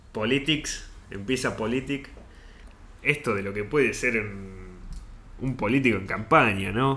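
A man talks at a fairly slow pace, leaving long, frequent pauses. His medium-pitched voice has a bright, sharp tone and ordinary pitch variation. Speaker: podcast co-host. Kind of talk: casual chat.

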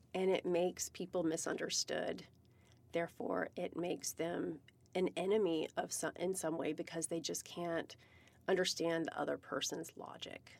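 The voice has vocal fry and monotone, flat intonation. It moves at a moderate pace. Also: woman, fairly low pitch for a woman. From US South, Virginia. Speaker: cannabis business founder. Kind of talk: casual interview chat.

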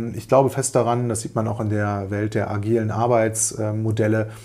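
Monotone, flat intonation from a man with a fairly low pitch at a fairly slow pace. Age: 40s. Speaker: business coach and podcast host. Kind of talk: solo podcast monologue. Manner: hesitant fillers.

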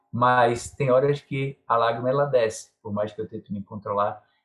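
Somewhat breathy male speech at a moderate pace with ordinary pitch variation. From Pernambuco interior, Brazil. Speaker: maracatu master and carnival bloc leader. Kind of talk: interview.

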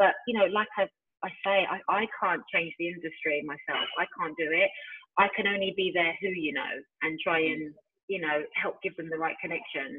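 With a London accent, the speaker moves at a moderate pace through very wide pitch swings. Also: woman, medium pitch for a woman. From East London, England. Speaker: founder of a music industry organisation. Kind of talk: casual interview.

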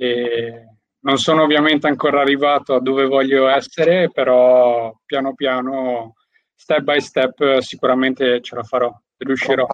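A man speaks at a medium pitch and a fairly slow pace, his intonation monotone and flat. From Albanian heritage. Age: 20s. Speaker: network marketer and window fitter. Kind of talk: interview.

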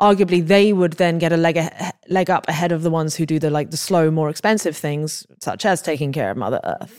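A woman with an English accent talks at a fairly quick pace and a fairly low pitch, with hardly any pauses. Her intonation is fairly even, in a very clean recording, silent background. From England. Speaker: podcast host. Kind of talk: interview conversation.

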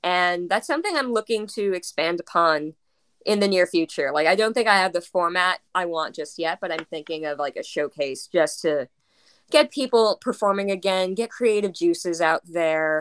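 A woman with an American accent talks in a normal speaking voice at a moderate pace and medium pitch, with ordinary pitch variation. The sound is dry and close, with no echo. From US Northeast (South Brooklyn, New York). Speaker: stage manager and performer. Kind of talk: casual chat.

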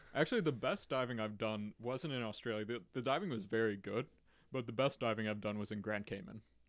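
A man with a medium pitch speaks at a very fast pace. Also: ordinary pitch variation. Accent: American. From Chicago, Illinois. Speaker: amateur scuba diver and mixed martial artist. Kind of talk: casual chat.

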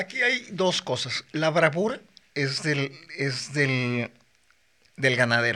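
A man speaks at a very slow pace with a Mexican accent, his pitch fairly high. His tone is bright and sharp, with ordinary pitch variation and long, frequent pauses. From Mexico, Morelia, Michoacán. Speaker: bullfighter. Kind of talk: casual chat.

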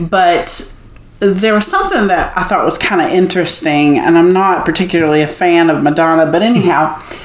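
This woman speaks fairly quickly with a fairly low pitch and fairly even intonation. There is audible room echo and noticeable background noise. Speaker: singer. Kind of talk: casual interview.

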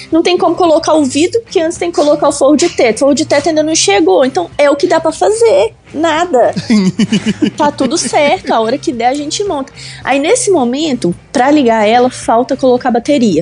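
Over background music, a woman speaks fairly quickly in a high voice. Her intonation is lively and her loudness very even. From Belo Horizonte, Minas Gerais, Brazil. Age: 20s. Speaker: car content creator. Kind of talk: casual chat.

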